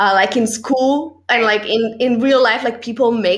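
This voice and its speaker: With noticeable background noise behind her, a woman with a non-native accent talks at a fairly quick pace in a high pitch. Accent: foreign. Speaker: podcast host and actress. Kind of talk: casual interview chat.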